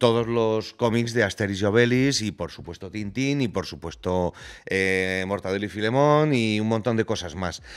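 Delivery is fairly slow, with ordinary pitch variation. The background is quiet. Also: man. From Spain, Valladolid. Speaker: podcast guest. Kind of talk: casual chat. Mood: nostalgic, cheerful. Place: studio. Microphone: studio mic.

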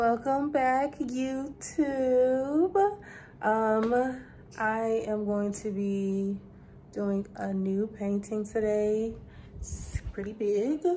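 At a very slow pace, a woman speaks with a fairly high pitch and ordinary pitch variation. Light background noise can be heard. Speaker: painter and vlogger. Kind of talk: casual vlog intro. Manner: casual, hesitant with filler words. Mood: warm, excited. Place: home room. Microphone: phone near.

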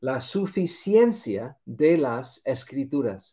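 Against a quiet background, a man speaks in a dark, mellow tone at a fairly high pitch. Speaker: Bible teacher; bible teacher. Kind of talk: religious lesson. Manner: halting, many fillers and repetitions. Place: home room.

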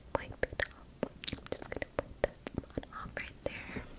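A woman whispers at a very slow pace. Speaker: ASMR creator. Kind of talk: ASMR personal attention role play. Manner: soft, gentle. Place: home room. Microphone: studio mic.

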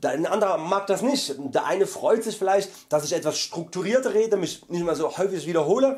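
Loud and high-pitched, a man with a Saxon accent talks with lively intonation. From Saxony, Germany. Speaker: vegan YouTuber; vlogger. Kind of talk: monthly vlog update. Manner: hesitant fillers.

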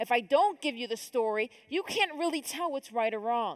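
Against a quiet background, a woman with an American accent speaks at high pitch with very wide pitch swings. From upstate New York (Rochester); New York. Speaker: conference speaker. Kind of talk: conference talk. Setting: stage with audience. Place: hall. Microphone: headset.

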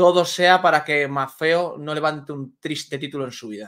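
A quiet background behind a man's voice with ordinary pitch variation. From Spain, Valladolid. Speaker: sports journalist. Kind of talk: casual chat. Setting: video call. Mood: excited about football. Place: home room. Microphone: studio mic.

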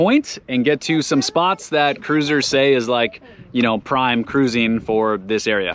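The man's tone is fairly bright. He talks at a fairly slow pace with lively intonation.

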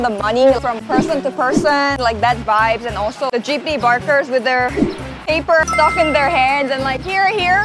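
Against clear background music, a woman talks at a fairly quick pace in a dry sound with no echo. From Korea. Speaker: vlogger. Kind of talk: casual talk to camera. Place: street.

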